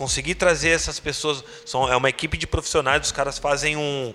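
Through noticeable background noise, a fairly high-pitched man talks at a fairly quick pace in a monotone, flat delivery. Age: 30s. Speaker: tattoo artist and convention organizer. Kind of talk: casual chat. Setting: tattoo studio.

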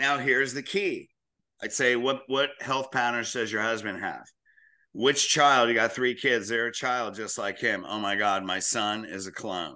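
Against a quiet background, a man with a bright, sharp tone and medium pitch talks at a fairly slow pace. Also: ordinary pitch variation. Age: 60s. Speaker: chiropractor and practice coach. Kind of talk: podcast interview.

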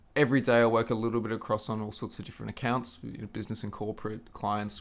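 A man with an Australian accent speaks very fast in a fairly low pitch, with ordinary pitch variation. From Queensland, Australia. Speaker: social media manager. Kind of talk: interview.

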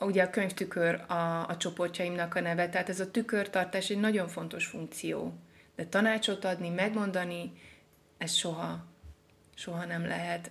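A woman talks at a moderate pace in a monotone, flat intonation with vocal fry. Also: fairly low pitch for a woman. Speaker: poet and literature therapist. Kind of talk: casual interview. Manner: halting, with fillers.

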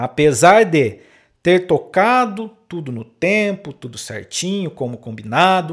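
Very slowly, a man talks with very wide pitch swings. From interior of São Paulo state, Brazil. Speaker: podcast host, saxophonist and music teacher. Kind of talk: solo podcast monologue, educational talk. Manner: hesitant with frequent fillers.

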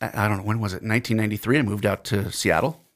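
The recording is very clean, with a silent background. A man talks at a fairly low pitch. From New Jersey, US. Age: 50s. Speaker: pastor. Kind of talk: casual chat.

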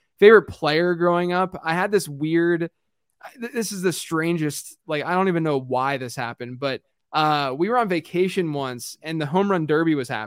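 A plain, everyday voice talks at a fairly quick pace with ordinary pitch variation, on a very clean recording with a silent background and a dry, close sound with no echo. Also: man. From Pittsburgh, US. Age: 30s. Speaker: fantasy football analyst and podcaster. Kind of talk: casual interview chat.

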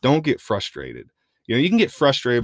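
A man with a Midwestern US accent is heard in a dry, close sound with no echo. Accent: US Midwest. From Iowa, Madison County. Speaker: mule rider and trainer. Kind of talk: casual chat. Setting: studio.

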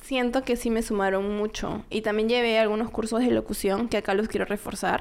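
A woman with a plain, everyday voice talks at a fairly quick pace, her fairly high pitch showing ordinary variation. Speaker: fashion model. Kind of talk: casual chat.

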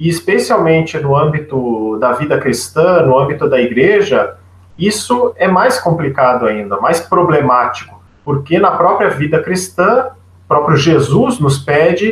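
A man speaks fairly slowly at a fairly high pitch. His pitch swings very widely. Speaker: journalist and communication researcher. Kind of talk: radio interview.

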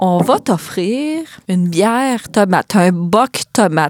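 A woman with a Quebec accent speaks at medium pitch with very wide pitch swings. The sound is dry and close, with no echo. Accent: Québécois French. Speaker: podcast host. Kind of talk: casual interview.

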